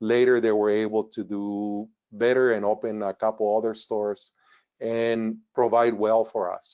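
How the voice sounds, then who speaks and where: A man with a Spanish accent speaks at a moderate pace in a fairly low pitch, with monotone, flat intonation and a dark, mellow tone. The background is quiet. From northern Mexico border town. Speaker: retired engineer. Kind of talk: webinar presentation. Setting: webinar.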